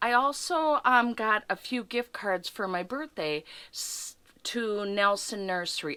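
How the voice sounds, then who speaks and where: A woman speaks very slowly in a bright, sharp tone. The recording is very clean, with a silent background. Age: 60s. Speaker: gardener. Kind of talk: casual vlog tutorial.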